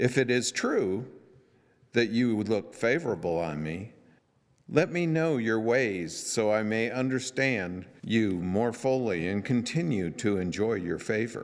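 A man talks at a fairly slow pace in a normal speaking voice. His pitch is medium and his intonation lively. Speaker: scripture reader. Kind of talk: reading aloud. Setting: church.

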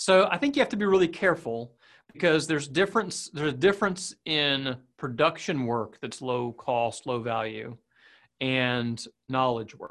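In a plain, everyday voice, a man talks at a moderate pace and fairly high pitch against a quiet background. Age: 30s. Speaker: digital agency owner. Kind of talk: casual interview.

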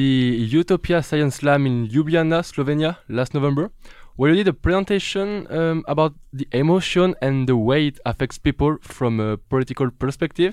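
Against a quiet background, a man with a fairly high pitch speaks at a moderate pace with lively intonation. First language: French. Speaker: radio host. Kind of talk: interview. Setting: studio. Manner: animated.

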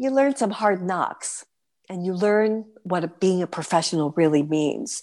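A woman's plain, everyday voice, fairly slow with lively intonation, against a quiet background. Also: medium pitch for a woman. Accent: American. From New York City. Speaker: stage performer. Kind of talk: interview.

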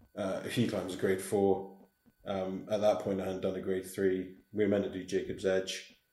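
A man speaks at a moderate pace in a very deep, low pitch, his dark, mellow tone held in a monotone, flat intonation. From Scottish Highlands. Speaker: hill walker. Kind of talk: casual interview chat.

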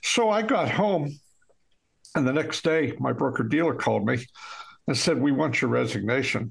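A man's voice carries vocal fry and lively intonation, with very even loudness. He leaves long, frequent pauses. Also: fairly high pitch for a man, moderate pace. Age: 80s+. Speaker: author. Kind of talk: casual talk show interview. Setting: video call from office.

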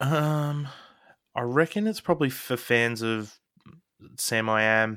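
A man with an Australian accent speaks at a medium pitch, with ordinary pitch variation. His pace is fairly slow, and he takes long, frequent pauses. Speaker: podcast co-host. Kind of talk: casual chat.

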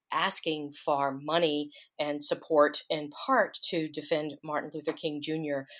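On a very clean recording with a silent background, a woman with a Southern US accent speaks at a fairly slow pace and a very deep, low pitch. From US South, Mississippi Delta. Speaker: author and historian. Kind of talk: interview.

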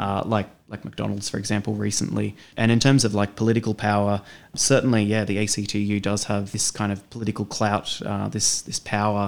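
Over a very clean recording with a silent background, a man speaks fairly quickly in a fairly low pitch with a monotone, flat intonation. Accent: Australian. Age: 30s. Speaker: union member and bookstore worker. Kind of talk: interview. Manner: halting, many fillers.

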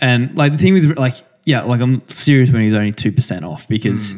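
A man with an Australian accent speaks with ordinary pitch variation. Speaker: professional distance runner, podcast co-host. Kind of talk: casual chat.

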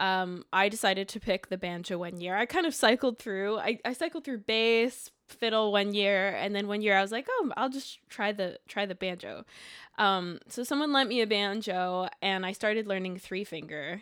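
This woman has an unremarkable speaking voice at a medium pitch, with ordinary pitch variation and a moderate pace. The recording is very clean, with a silent background. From Quebec, Canada. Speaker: banjo player and songwriter. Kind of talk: casual interview chat.

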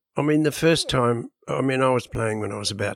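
On a very clean recording with a silent background and a dry, close sound with no echo, a man with an Australian accent speaks with ordinary pitch variation. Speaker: rock drummer and author. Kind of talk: interview.

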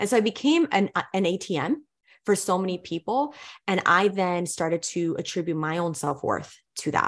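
Against a quiet background, an ordinary speaking voice moves at a moderate pace with lively intonation. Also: woman, medium pitch for a woman. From New York City, inner city. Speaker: brand strategist and business owner. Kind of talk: interview conversation.

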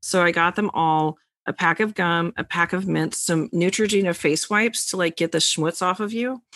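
A woman with an ordinary speaking voice at a fairly low pitch, moderate pace and ordinary pitch variation, with a dry, close sound with no echo and a quiet background. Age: 40s. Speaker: tarot reader and podcast co-host. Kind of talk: casual chat.

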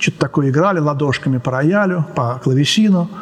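Noticeable background noise runs through the recording. Over it, a man talks with lively intonation. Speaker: composer and music lecturer. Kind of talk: lecture. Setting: art gallery with glass ceiling. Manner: spontaneous, with fillers and hesitations.

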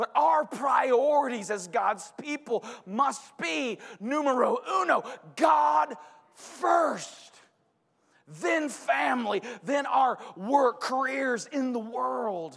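A shouting man at an extremely high pitch, with very wide pitch swings and a very slow pace. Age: 40s. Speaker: pastor. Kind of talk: sermon. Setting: church with congregation.

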